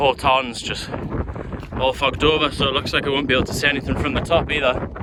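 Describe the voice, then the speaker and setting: With noticeable background noise behind him, a man of medium pitch speaks at a very fast pace with fairly even intonation. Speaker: hiking vlogger. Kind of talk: outdoor vlog narration. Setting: outdoors on a mountain hike.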